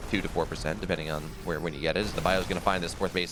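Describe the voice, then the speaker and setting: This is a man speaking. Noticeable background noise runs behind him. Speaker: esports caster. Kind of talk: live commentary. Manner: animated.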